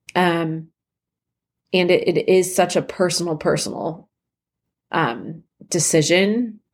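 A woman speaks very slowly in a fairly low voice, with long, frequent pauses, fairly even intonation and very even loudness. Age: 30s. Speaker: podcast host, mother of children with rare disease. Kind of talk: casual personal monologue. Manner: casual, filler-heavy.

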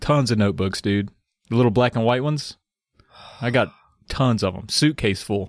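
Playful in tone, a man with a Southern US accent speaks at a moderate pace and medium pitch, with ordinary pitch variation. Long, frequent pauses break his speech on a very clean recording with a silent background. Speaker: podcast co-host. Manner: joking, playful.

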